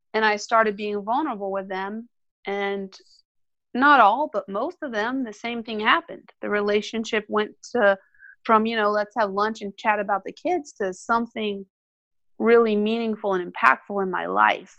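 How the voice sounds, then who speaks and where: A woman's normal speaking voice with a General American accent, fairly high in pitch with ordinary pitch variation, at a moderate pace, in a dry, close sound with no echo. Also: quiet background. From Colorado. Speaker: orthodontist. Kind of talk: interview.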